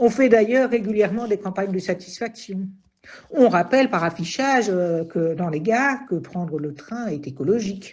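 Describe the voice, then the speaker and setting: This is a woman with an ordinary speaking voice at a medium pitch. She talks at a moderate pace with lively intonation. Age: 60s. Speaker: retiree, train passenger. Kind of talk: testimony.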